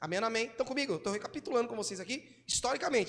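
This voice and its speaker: A man's high-pitched voice comes through over noticeable background noise. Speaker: pastor. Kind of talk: sermon. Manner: fast.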